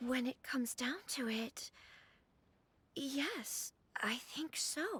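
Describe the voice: Using a put-on character voice, a woman speaks at a very slow pace in a high pitch. Her intonation is lively, and her fairly bright tone carries a husky, rough edge.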